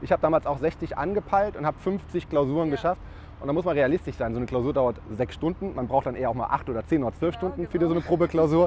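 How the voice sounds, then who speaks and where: A man talks at a very fast pace in a fairly high pitch with vocal fry. His pitch variation is ordinary. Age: 30s. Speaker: tax advisor, podcast host. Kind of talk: casual interview. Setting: on location over lunch.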